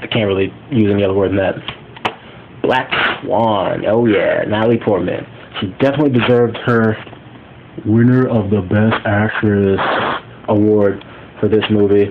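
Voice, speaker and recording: A man's fairly low-pitched voice at a moderate pace, with fairly even intonation, long and frequent pauses, and noticeable background noise. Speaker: YouTuber reviewing Blu-ray collection. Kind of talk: casual video review. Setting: recorded on phone at home. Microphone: phone recording.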